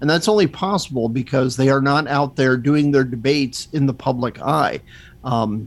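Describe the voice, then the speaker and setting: At a moderate pace, a man with an unremarkable speaking voice and a fairly high pitch is heard on a very clean recording with a silent background. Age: 50s. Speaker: magazine editor and podcaster. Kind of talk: casual chat.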